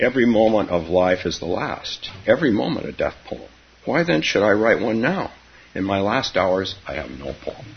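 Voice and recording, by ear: A natural voice reading aloud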